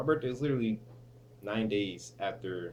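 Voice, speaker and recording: Fairly low-pitched male voice with vocal fry and ordinary pitch variation. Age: 20s. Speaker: vlogger and student. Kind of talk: casual vlog. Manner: hesitant, many fillers.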